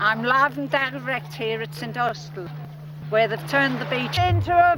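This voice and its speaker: Music plays in the background while a woman speaks with audible room echo. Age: 70s. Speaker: TV field reporter. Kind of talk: live outside broadcast report. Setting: outdoors at beach festival.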